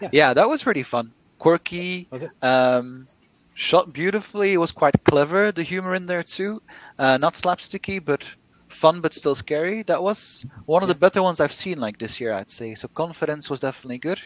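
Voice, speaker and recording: Speaking at a fairly quick pace, a man with a Flemish accent uses high pitch and lively intonation. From Belgium, Brussels. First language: Flemish Dutch. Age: 30s. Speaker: novelist. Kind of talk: casual chat.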